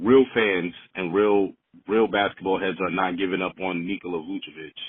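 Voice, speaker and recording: A man speaks at a moderate pace in a very deep, low pitch, with ordinary pitch variation. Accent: American. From New York. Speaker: caller. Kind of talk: voicemail. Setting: phone voicemail.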